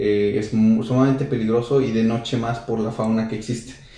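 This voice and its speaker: A man speaks at a moderate pace in a medium pitch, his dark, mellow tone delivered with monotone, flat intonation and audible room echo. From central Mexico, San Luis Potosí. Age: 20s. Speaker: motorcycle traveler. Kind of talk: interview.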